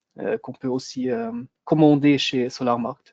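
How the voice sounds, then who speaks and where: A man's dark, mellow voice in a German accent, medium in pitch with fairly even intonation, dry and close with no echo. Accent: non-native French, German-speaking. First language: German (speaking French). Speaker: product manager for a solar company. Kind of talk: webinar product presentation. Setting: online webinar. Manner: halting, many hesitations.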